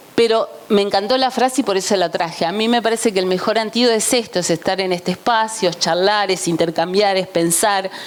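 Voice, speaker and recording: A woman talks at a fairly quick pace with a medium pitch and ordinary pitch variation. Noticeable background noise runs beneath her voice. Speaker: journalist, conference speaker. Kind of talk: conference talk. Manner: animated.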